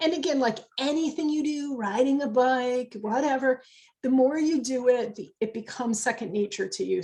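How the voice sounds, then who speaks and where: A woman speaks at a moderate pace in a high voice. Her intonation is lively. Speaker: business network founder giving a training. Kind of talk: online educational workshop.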